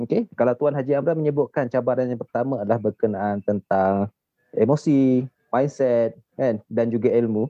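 Speaking in an ordinary speaking voice, a man with a medium pitch keeps a moderate pace and ordinary pitch variation. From Malaysia, Shah Alam, Selangor. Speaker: gold saver. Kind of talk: casual chat.

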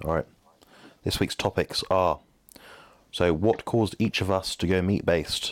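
Pausing long and often, a man with a southern English accent speaks in a very deep, low pitch in a very clean recording with a silent background. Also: ordinary pitch variation, moderate pace, dry, close sound with no echo. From southern England. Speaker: bodybuilding nutrition coach and podcast host. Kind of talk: casual chat.

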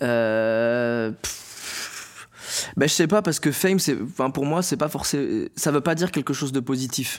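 The man speaks at a fairly slow pace with ordinary pitch variation. The recording is very clean, its background silent. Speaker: stand-up comedian. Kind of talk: casual interview. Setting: studio. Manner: articulation problems.

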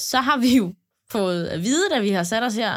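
A woman speaks very slowly with a fairly high pitch and very wide pitch swings. The sound is dry and close, with no echo. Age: 20s. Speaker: podcast co-host. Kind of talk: casual chat.

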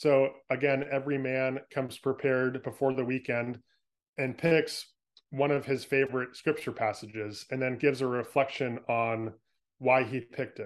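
A man's medium-pitched voice with a West Coast American accent, monotone and flat, against a quiet background. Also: moderate pace. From California, San Francisco Bay Area. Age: 30s. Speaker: author. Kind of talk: interview.

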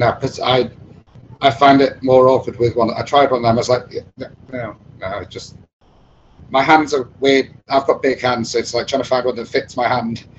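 Somewhat breathy, a man with a northern English accent speaks at a medium pitch and moderate pace in a monotone, flat intonation. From Chester, northern England. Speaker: bass trombonist in a brass band. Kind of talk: casual interview chat.

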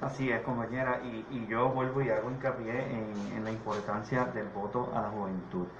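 A man at medium pitch speaks with fairly even intonation, with audible room echo and noticeable background noise. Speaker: political candidate. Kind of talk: radio panel discussion.

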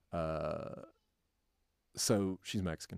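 A man speaks with an Appalachian accent. His intonation is fairly even. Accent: Appalachian US Southern. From North Carolina. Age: 30s. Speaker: educator. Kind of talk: casual interview. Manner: halting, many fillers.

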